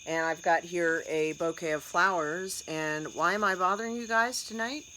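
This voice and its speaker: An animated woman with an American accent over light background noise. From United States. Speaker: storytelling and content coach; content coach. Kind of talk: tutorial. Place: home room. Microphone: phone near.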